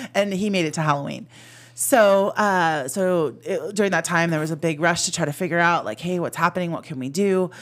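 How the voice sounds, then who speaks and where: In an American accent, a woman with an unremarkable speaking voice talks at a fairly quick pace and fairly low pitch, with ordinary pitch variation. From Arizona (Phoenix), then San Jose, California. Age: 50s. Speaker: teacher, former vice principal. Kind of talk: casual chat.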